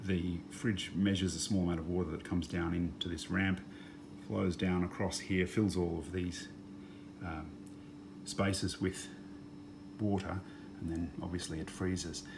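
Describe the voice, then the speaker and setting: With an Australian accent, a man speaks in a very deep, low pitch that is somewhat breathy. His intonation is fairly even, and audible room echo is present. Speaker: DIY repair video maker. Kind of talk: tutorial. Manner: casual with frequent fillers.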